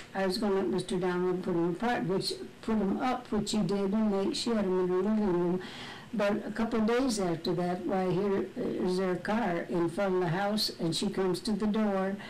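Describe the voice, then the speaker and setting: Over noticeable background noise, the voice keeps a very even loudness and fairly even intonation. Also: woman, medium pitch for a woman, moderate pace. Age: 80s+. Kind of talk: family storytelling.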